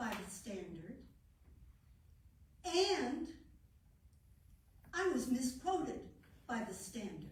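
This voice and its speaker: Very slow, high-pitched speech from a woman, with audible room echo. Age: old. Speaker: regional party director. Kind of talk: committee meeting report. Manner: loud.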